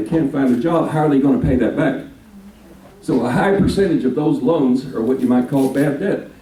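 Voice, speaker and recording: Amid noticeable background noise and audible room echo, a man with a fairly high pitch speaks at a fairly quick pace with ordinary pitch variation. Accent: American. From Texas (Dallas). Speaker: minister. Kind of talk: speech to a local political group.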